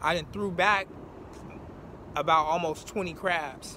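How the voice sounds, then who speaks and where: A man's high voice, very slow and flat in a monotone, dry with no echo over light background noise. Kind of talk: casual vlog chat. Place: waterside. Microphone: phone near.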